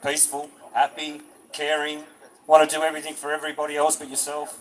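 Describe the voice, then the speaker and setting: Over noticeable background noise, a man speaks at a moderate pace with fairly high pitch. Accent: Australian. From New South Wales, Albion Park Rail. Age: 40s. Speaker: rally speaker. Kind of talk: public speech at a protest rally. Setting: outdoor stage at protest with crowd.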